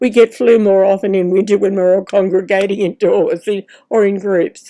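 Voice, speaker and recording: With an Australian accent, a woman speaks at medium pitch in a dark, mellow tone, with ordinary pitch variation. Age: 80s+. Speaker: retired professional artist. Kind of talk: casual talk to camera while painting. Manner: gentle, chatty.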